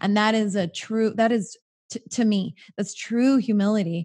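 Fairly even intonation in a woman's medium-pitched, somewhat breathy voice. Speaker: podcast host. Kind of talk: casual interview chat.

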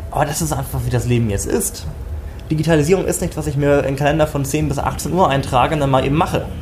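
A man rushes along at a very fast pace, his voice carrying audible room echo over noticeable background noise. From northern Germany, Schleswig-Holstein. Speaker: tech company founder. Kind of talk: interview.

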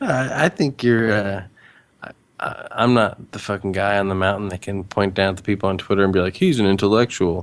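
A plain, everyday voice from a man with an American accent, fairly low in pitch, fairly even in intonation, at a fairly quick pace. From US Midwest, Cincinnati, Ohio suburbs. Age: 30s. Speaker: podcaster. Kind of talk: casual chat.

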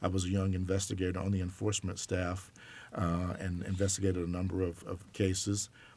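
A man's very deep, low voice with an American accent, somewhat breathy and monotone, at a fairly quick pace in a very clean recording with a silent background. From US South, Alabama. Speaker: college sports enforcement director. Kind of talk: interview.

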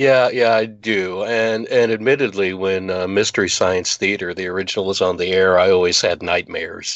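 This man has a plain, everyday voice, fairly low in pitch, with fairly even intonation. He talks at a moderate pace with hardly any pauses. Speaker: film crew member and voice actor. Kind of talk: interview, casual chat.

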